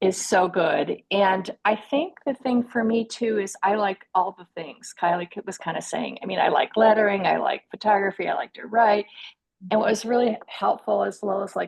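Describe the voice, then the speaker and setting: A woman with an ordinary speaking voice, medium in pitch and moderate in pace, with ordinary pitch variation and a dry, close sound free of echo. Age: 60s. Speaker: artist, former graphic designer. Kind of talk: testimony.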